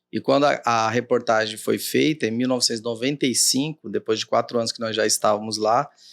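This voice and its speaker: A man with a Cuiabá accent and a medium pitch speaks with hardly any pauses, the sound dry and close with no echo on a very clean recording with a silent background. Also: ordinary pitch variation, fairly quick pace. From Mato Grosso, Brazil (Cuiabá). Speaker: judge. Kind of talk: interview.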